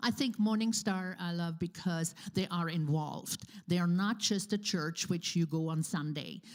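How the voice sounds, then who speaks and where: In a very clean recording with a silent background, a woman with a non-native accent speaks at a fairly slow pace in a fairly low pitch with ordinary pitch variation. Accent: foreign. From Switzerland. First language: Swiss German. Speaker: church member. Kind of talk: interview. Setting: church. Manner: halting.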